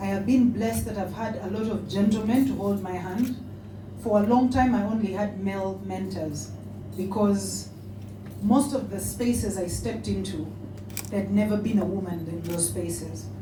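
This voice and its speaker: A woman talks at a moderate pace with a Ugandan accent. Noticeable background noise and audible room echo surround her voice. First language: a Ugandan language. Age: 40s. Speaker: politician and author. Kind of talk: speech. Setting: awards dinner with audience.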